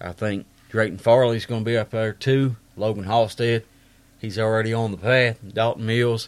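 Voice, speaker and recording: In an Appalachian accent, a man talks at a moderate pace in a medium pitch, his intonation flat and monotone. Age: 30s. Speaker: podcast host. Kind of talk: casual monologue.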